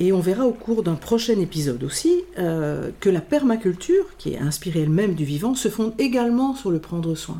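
At a moderate pace, a woman of medium pitch speaks with very wide pitch swings. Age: 60s. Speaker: podcast host and group facilitator. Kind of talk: conversational interview. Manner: hesitant, many repetitions and fillers.

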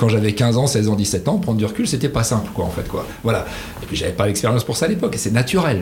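With an enthusiastic tone, a man talks at a very fast pace and medium pitch amid noticeable background noise. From northern France (Picardy, Amiens). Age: 50s. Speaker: company CEO. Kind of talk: interview.

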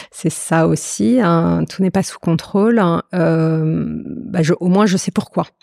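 Her tone is dark and mellow, and the woman's pitch is fairly low with ordinary variation. She talks at a very slow pace with hardly any pauses. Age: 40s. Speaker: consultant on ageing. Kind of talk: interview. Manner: hesitant, many fillers.

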